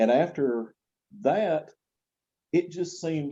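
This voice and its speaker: The voice has a dark, mellow tone with lively intonation. It speaks with a Southern US accent. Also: man. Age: 60s. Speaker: gospel quartet singer. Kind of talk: interview testimony.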